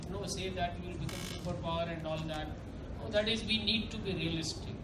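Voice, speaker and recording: Noticeable background noise behind a man's voice. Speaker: government official on panel. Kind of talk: panel discussion talk. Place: hall. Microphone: pa.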